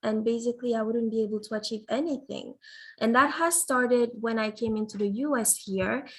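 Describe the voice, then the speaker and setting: A somewhat breathy woman's voice with a fairly high pitch, in a very clean recording against a silent background. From Guinea, West Africa. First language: French (also Fulani). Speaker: student government nominee. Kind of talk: nomination speech.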